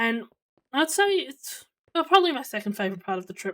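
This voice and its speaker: The speaker is a woman. She talks with an Australian accent. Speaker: streamer. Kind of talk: casual chat. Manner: loud; hesitant, many fillers.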